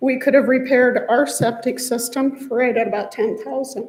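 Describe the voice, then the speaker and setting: The voice sounds nervous and shaky. It moves at a fairly slow pace. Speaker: homeowner speaking at public comment. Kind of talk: public comment at council meeting. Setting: council chamber at microphone. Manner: shaky, nervous voice.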